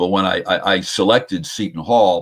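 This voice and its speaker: This man has a very deep, low pitch and an American accent. He speaks at a moderate pace. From New Jersey. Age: 70s. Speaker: sports broadcaster. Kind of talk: interview.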